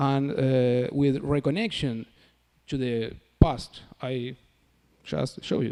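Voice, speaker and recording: Here a man speaks with a non-native accent. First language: Spanish. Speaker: academic researcher. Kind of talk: conference presentation. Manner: halting, many fillers.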